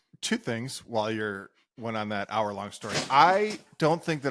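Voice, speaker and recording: A man's ordinary speaking voice, medium in pitch, at a fairly slow pace. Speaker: podcast co-host. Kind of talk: casual chat.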